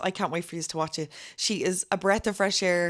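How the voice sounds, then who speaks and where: A woman speaks at a medium pitch with an Irish accent. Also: very clean recording, silent background. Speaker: podcast host. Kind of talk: podcast intro.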